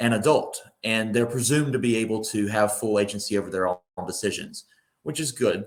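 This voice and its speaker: Speaking at a fairly quick pace, a man talks with a North Carolina accent. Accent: Southern US, North Carolina. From North Carolina, Mount Airy. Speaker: estate planning attorney. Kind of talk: presentation. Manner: hesitant, many fillers and repetitions.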